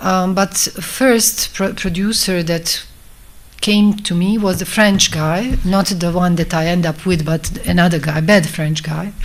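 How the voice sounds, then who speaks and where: In a Bosnian accent, a woman speaks at a fairly slow pace with a fairly low pitch and fairly even intonation. Noticeable background noise can be heard. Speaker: film director. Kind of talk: talk at a festival masterclass. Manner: halting.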